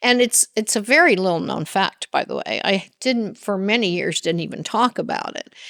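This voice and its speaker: A woman of medium pitch talks at a moderate pace with vocal fry and hardly any pauses. Her pitch variation is ordinary, and the sound is dry and close with no echo. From Latin America, Spanish-speaking. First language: Spanish. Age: 70s. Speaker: business executive. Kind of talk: interview. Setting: conference podcast.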